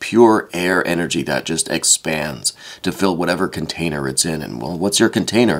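This man's voice has vocal fry, and he talks at a moderate pace. His pitch moves up and down in an ordinary way. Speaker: tarot reader. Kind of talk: tarot reading.

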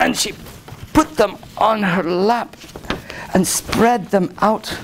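The speaker is plain reading aloud. Pitch variation is ordinary.

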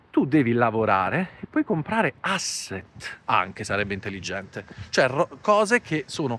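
Recorded dry with no echo, a man speaks with very wide pitch swings. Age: 40s. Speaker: finance YouTuber. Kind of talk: vlog monologue. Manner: animated. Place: garden. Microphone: lapel.

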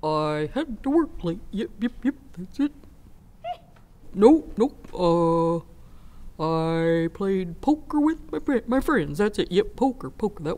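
In a put-on character voice, a female-sounding speaker uses a fairly high pitch with very wide pitch swings, speaking at a very slow pace with long, frequent pauses. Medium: short film. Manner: hesitant, fumbling, wheedling.

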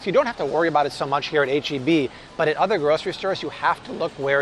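Over faint background noise, a man with fairly high pitch and a fairly bright tone talks fast with ordinary pitch variation.

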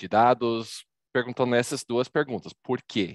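With an American accent, a man speaks at a fairly slow pace over a quiet background, the sound dry with no echo. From Texas. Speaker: data visualization presenter; presenter. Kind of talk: presentation. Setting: video call. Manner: animated. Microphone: video call.

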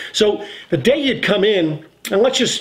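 The surroundings are quiet. A man's voice is heard. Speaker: RV salesman. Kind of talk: casual vlog explanation. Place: home room.

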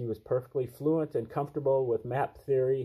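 Over a quiet background, a man with a somewhat breathy, dark, mellow tone speaks at a moderate pace with fairly even intonation. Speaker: channel host. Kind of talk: reading aloud with commentary. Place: home room. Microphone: webcam.

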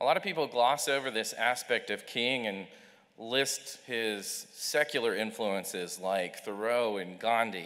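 A man with a bright, sharp tone, fairly slow pace and ordinary pitch variation, over a quiet background. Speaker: speaker. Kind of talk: chapel talk. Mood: earnest, measured. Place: hall. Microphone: podium.

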